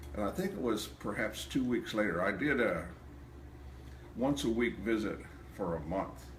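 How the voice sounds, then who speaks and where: A man speaks with a fairly low pitch and vocal fry, his pitch swinging very widely, with long, frequent pauses and audible room echo. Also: moderate pace. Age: 70s. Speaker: chiropractic patient. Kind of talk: testimony.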